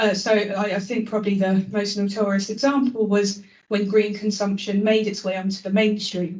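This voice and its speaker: Dark, mellow tone from a woman, somewhat breathy, delivered at a moderate pace. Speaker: climate activist, public lecturer. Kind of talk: lecture. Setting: public lecture with audience.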